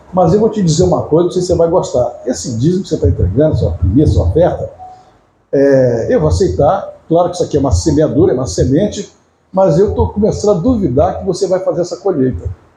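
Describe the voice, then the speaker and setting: The talking runs at a very fast pace. Its loudness stays very even throughout. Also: man. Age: 70s. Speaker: pastor. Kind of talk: sermon. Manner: conversational, anecdotal preaching.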